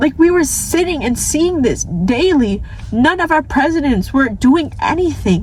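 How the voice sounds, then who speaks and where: An American-accented woman speaks high and animated, with very wide pitch swings, at a fairly slow pace. Her loudness stays very even, with noticeable background noise behind her. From New York City (Staten Island). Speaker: vlogger. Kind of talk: rant. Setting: in a car.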